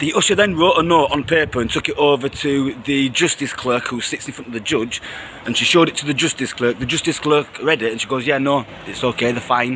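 A man at a fairly quick pace, with ordinary pitch variation and light background noise. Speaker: vlogger reporting outside court. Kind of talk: casual vlog chat. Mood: indignant, animated. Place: street. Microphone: phone near.

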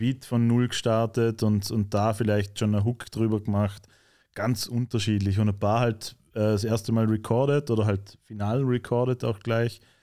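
Dark, mellow voice with a Vorarlberg accent, flat monotone delivery at a moderate pace, quiet background. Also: man. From Austria, Vorarlberg. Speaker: rapper; guest. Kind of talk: casual interview chat. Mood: relaxed, conversational. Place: studio. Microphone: studio mic.

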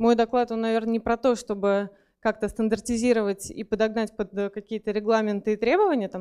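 Ordinary pitch variation shapes a woman's dark, mellow voice. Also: quiet background. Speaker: conference speaker. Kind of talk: lecture. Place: hall. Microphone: handheld.

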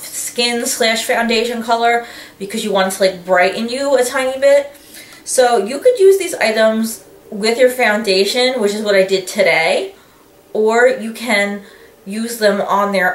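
A fairly slow pace with ordinary pitch variation and audible room echo. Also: woman. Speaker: beauty vlogger. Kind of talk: casual vlog chat. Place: home room. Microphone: camera far.

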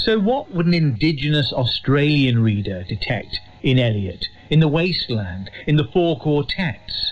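Speaking at a fairly slow pace, a man with a fairly high pitch swings his pitch very widely. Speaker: radio presenter. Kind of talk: scripted narration.

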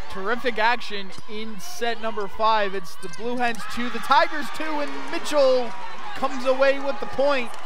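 Lively intonation carries speech at a moderate pace, recorded dry with no echo but with noticeable background noise. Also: man, extremely high pitch for a man. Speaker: sports play-by-play broadcaster. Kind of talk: live sports play-by-play commentary. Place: hall. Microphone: headset.

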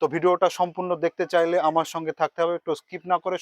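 A high-pitched man is heard in a dry, close sound with no echo. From West Bengal, Murshidabad district. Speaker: travel vlogger. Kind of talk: vlog to camera. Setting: outdoors near railway station.

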